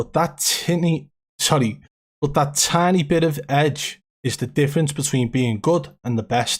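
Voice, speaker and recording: At a fairly slow pace, a somewhat breathy voice speaks with very even loudness and ordinary pitch variation. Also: man, fairly high pitch for a man. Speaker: gaming streamer. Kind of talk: live stream commentary. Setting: live stream.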